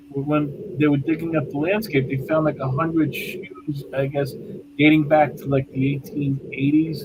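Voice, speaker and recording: Over noticeable background noise, a man with an American accent speaks at a moderate pace in a fairly high voice with fairly even intonation. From New York City (Bensonhurst, Brooklyn). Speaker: paranormal investigator. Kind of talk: casual interview chat.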